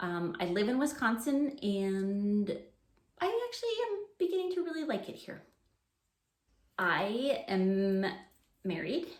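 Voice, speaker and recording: Lively intonation marks a somewhat breathy woman's voice in a Canadian accent. Audible room echo surrounds her. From Canada. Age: 40s. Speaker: preschool teacher and education vlogger. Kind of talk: casual unscripted chat to camera. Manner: hesitant, many fillers.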